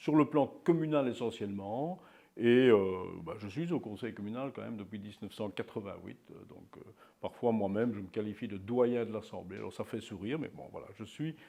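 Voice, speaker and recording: Man's voice, medium pitch and dark, mellow tone, with ordinary pitch variation, big swings in loudness and a moderate pace. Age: 60s. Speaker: local politician. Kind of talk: interview. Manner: hesitant, many fillers.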